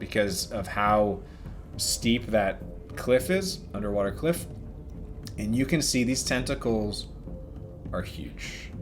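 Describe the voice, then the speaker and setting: At a very slow pace, the speaker uses lively intonation over noticeable background noise. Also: man. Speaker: dungeon master. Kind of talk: tabletop game narration.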